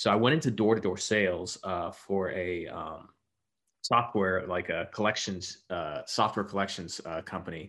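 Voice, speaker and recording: In a plain, everyday voice, the speaker talks at a moderate pace with an American accent and ordinary pitch variation. The recording is very clean, with a silent background. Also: man, fairly low pitch for a man. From Texas. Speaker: medtech marketing leader. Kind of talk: casual interview.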